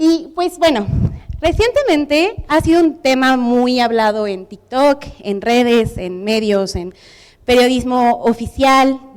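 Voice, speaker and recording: A high-pitched woman with a Mexican accent and lively intonation. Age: 20s. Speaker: public policy specialist, conference speaker. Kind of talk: conference talk. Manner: informal.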